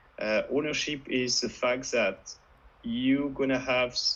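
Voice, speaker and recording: Speaking very slowly, a man talks in a French accent. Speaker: web3 panelist. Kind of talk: panel discussion.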